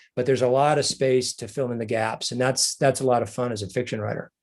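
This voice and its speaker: A man with an American accent at medium pitch, his intonation fairly even, against a quiet background. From American West. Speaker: author. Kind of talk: interview. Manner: halting.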